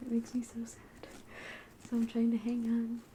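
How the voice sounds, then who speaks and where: Soft-spoken and relaxed in tone, a woman talks over noticeable background noise. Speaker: ASMR creator. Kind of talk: ASMR book haul talk to camera. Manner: soft-spoken, relaxed.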